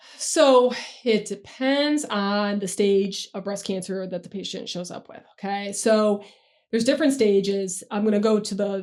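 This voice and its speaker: In a plain, everyday voice with an American accent, a woman talks at a medium pitch and moderate pace, with ordinary pitch variation and big swings in loudness. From New York State. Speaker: breast surgeon. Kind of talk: expert interview. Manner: casual, explanatory.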